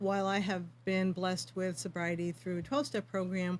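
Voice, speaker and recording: A woman talks at a fairly quick pace with a fairly low pitch. She has an ordinary speaking voice. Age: 60s. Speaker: yoga teacher for addiction recovery. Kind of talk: interview.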